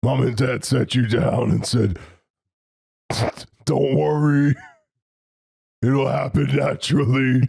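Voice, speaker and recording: A man does a raspy, put-on character voice at medium pitch and a fairly slow pace. Long, frequent pauses break it up while the loudness stays very even. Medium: actual play. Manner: blunt, simple, third-person speech.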